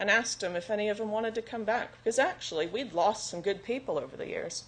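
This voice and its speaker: Here a woman talks at medium pitch. She has a Southern US accent. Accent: American, Southern. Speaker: recruitment analyst, conference speaker. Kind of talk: conference talk.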